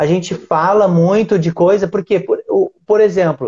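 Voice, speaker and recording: High-pitched male speech at a moderate pace with ordinary pitch variation. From Brazil, Rio Grande do Sul (Uruguaiana). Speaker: podcast host. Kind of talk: casual interview chat. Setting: online live stream.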